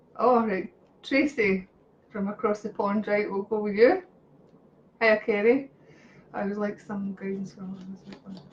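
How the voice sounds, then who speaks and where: The speaker has a Scottish accent and big swings in loudness. Long, frequent pauses break up the speech. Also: woman, medium pitch for a woman. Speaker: psychic reader. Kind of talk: live-stream psychic readings. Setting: live video stream. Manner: animated; fast.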